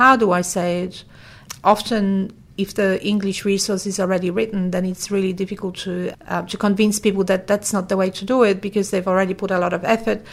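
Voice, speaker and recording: A woman's medium-pitched, monotone delivery, fairly quick, with a Polish accent and flat intonation. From Poland. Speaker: language services company founder. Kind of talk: interview. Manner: hesitant with fillers.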